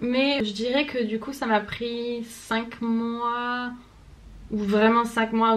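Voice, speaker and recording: A woman's monotone, flat intonation. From France. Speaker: vlogger. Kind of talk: casual vlog monologue. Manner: hesitant, many fillers.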